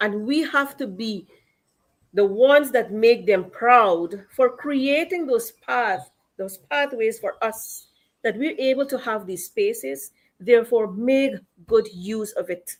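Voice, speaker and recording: Pitched fairly high, a woman speaks at a very slow pace with lively intonation. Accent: Guyanese. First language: Akawaio. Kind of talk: panel discussion.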